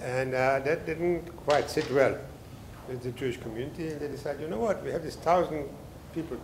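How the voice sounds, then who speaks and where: With audible room echo, a man at a fairly high pitch speaks with ordinary pitch variation. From Mandatory Palestine / Israel, born in Germany. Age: 80s+. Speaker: professor and author. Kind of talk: book talk lecture. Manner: halting, many fillers.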